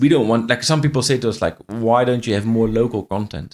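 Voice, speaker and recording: A man with a Dutch accent, medium pitch, ordinary pitch variation and a fairly quick pace. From Netherlands. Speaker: franchise business owner. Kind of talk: interview conversation. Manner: halting, with frequent repetitions.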